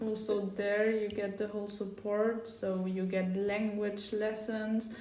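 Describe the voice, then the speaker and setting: A woman with a German accent at medium pitch, monotone and flat, at a fairly slow pace, amid audible room echo and noticeable background noise. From Germany. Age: young. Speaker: podcast host, volunteer. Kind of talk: casual podcast chat.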